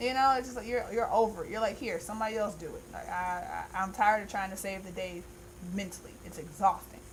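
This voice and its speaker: A woman's animated, somewhat breathy voice at medium pitch, very fast, with ordinary pitch variation, big swings in loudness and audible room echo. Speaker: tarot reader. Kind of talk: monthly tarot reading. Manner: casual, animated.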